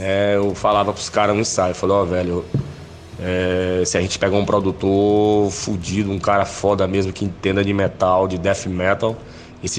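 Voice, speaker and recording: A man speaks at a moderate pace, his fairly low pitch kept in monotone, flat intonation. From Bahia, Brazil (Itabuna, southern Bahia). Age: 40s. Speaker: death metal vocalist. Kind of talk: interview. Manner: halting, many fillers.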